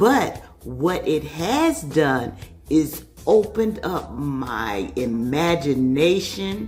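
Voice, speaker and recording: A woman is talking, with music in the background. There is audible room echo. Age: 60s. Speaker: customer giving a testimonial. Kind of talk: testimony. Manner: hesitant with many fillers.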